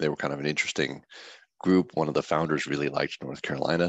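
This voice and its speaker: A man's very deep, low voice with vocal fry at a very fast pace, fairly even intonation, and a dry, close sound with no echo. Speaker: software developer at trading firm. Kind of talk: informal tech talk. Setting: online meeting. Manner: casual, many fillers.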